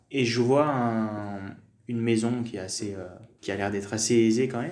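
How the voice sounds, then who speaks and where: Audible room echo surrounds a man with a medium pitch who uses ordinary pitch variation. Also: big swings in loudness. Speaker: French teacher. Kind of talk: casual interview, personal testimony. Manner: hesitant, many fillers.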